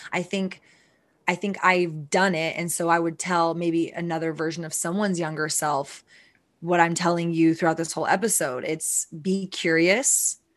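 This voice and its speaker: A woman's plain, everyday voice at a fairly low pitch, moderate in pace with fairly even intonation, over a quiet background. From Texas. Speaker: CEO of a CBD brand. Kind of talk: interview.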